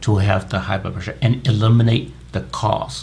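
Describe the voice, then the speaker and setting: There is noticeable background noise. Over it, a man speaks at a fairly low pitch. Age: 60s. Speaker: medical doctor. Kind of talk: interview.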